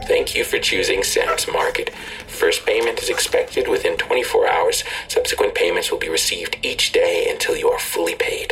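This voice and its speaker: An extremely high-pitched put-on character voice from a man, monotone and flat, over clear background noise. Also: moderate pace. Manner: cold, flat, transactional.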